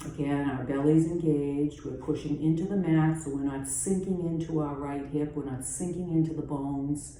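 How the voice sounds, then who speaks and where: A woman with a Boston accent, very deep and low in pitch, fairly slow and fairly even in intonation, calm in tone, with audible room echo. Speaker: yoga teacher. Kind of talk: guided yoga class. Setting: at home. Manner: calm, instructive.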